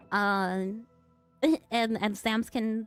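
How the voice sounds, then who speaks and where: With music in the background, a woman speaks with a fairly high pitch and fairly even intonation. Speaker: streamer with an animated avatar. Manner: hesitant, repeats words.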